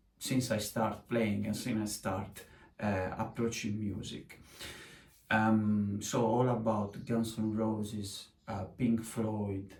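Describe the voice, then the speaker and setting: Audible room echo surrounds a man speaking very slowly. His pitch is fairly low and his intonation fairly even. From Sardinia, Italy. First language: Italian. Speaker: musician. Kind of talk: casual chat. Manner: halting, many filler sounds.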